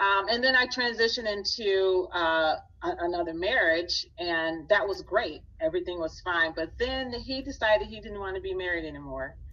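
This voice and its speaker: A woman uses an ordinary speaking voice at a medium pitch, with lively intonation and big swings in loudness. She keeps a moderate pace with hardly any pauses. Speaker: business owner and speaking coach. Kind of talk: interview.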